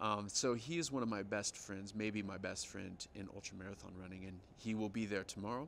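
Over light background noise, a man with an American accent speaks at a moderate pace in a fairly low voice with ordinary pitch variation. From United States. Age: 40s. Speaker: professional ultra runner. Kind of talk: interview. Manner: halting. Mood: relaxed, friendly.

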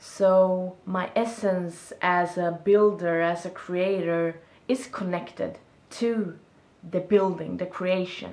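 A woman at a very slow pace, with a Swedish accent and fairly even intonation. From Sweden. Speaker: video blogger. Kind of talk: casual monologue vlog. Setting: self-recorded video. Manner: reflective, halting. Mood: reflective, warm. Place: home room. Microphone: camera far.

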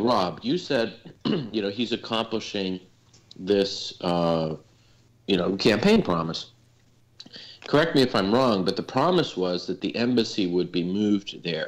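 A man with a fairly low pitch and ordinary pitch variation speaks at a moderate pace, leaving long, frequent pauses. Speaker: citizen panelist; panelist. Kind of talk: casual political discussion. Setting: video call. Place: home room. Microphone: video call.

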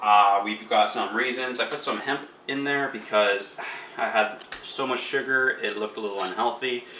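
A man speaks with ordinary pitch variation. Audible room echo and light background noise surround him. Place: kitchen. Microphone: phone near.

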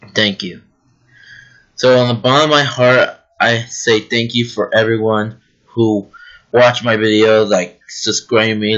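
A man's fairly slow speech comes over a quiet background. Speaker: YouTuber. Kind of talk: casual vlog chat. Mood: happy, grateful. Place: home room. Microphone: webcam.

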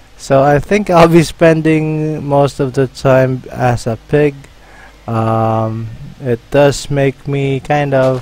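Against noticeable background noise, a man with a fairly high pitch talks at a very slow pace with ordinary pitch variation. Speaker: gaming YouTuber. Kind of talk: gameplay commentary. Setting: solo recording at computer. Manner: halting, filler-heavy.

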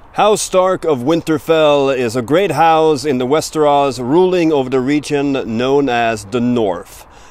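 A man talks at a fairly slow pace. The sound is dry, with no echo. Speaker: language teacher. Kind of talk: tutorial. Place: forest. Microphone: phone near.

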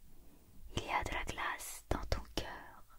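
The speaker is whispering and soft-spoken. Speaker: storybook reader. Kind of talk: reading a children's story aloud. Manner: soft whispered storybook reading.

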